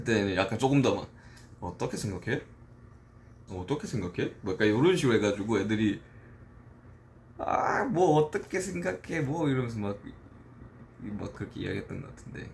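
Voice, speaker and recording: With lively intonation and big swings in loudness, a man speaks at a moderate pace, leaving long, frequent pauses. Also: medium pitch for a man. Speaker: rapper and songwriter. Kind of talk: casual livestream talk. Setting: dorm room.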